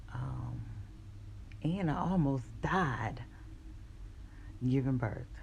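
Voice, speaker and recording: A woman speaks at a very slow pace with long, frequent pauses, and the room echo is audible. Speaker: vlogger. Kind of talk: personal storytelling vlog. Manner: casual, hesitant with fillers.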